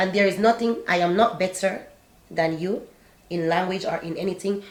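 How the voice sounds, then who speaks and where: With a non-native accent, a woman speaks at a medium pitch and a moderate pace, with fairly even intonation. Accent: non-native accent, says she still has one. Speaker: YouTuber sharing life abroad. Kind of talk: casual chat.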